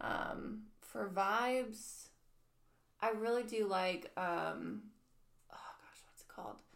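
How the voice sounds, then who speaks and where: Speaking very slowly with long, frequent pauses, a woman holds a fairly high pitch and fairly even intonation amid audible room echo. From US, military family, various states. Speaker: restaurant server, church member. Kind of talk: casual chat.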